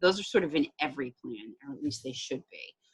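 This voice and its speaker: Her pitch very deep and low, a woman talks at a fairly quick pace. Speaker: behavioral health program trainer. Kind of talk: staff training walkthrough. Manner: fast.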